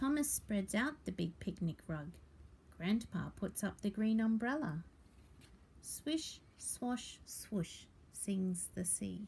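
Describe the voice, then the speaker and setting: A woman's somewhat breathy voice with an Australian accent, very slow in pace, with lively intonation. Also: medium pitch for a woman. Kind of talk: children's picture book read-aloud.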